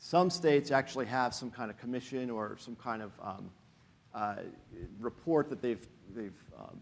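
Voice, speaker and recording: Pausing long and often, a man speaks at a moderate pace and medium pitch with ordinary pitch variation and big swings in loudness. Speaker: education finance policy expert on a panel. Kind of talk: conference presentation. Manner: hesitant, many fillers.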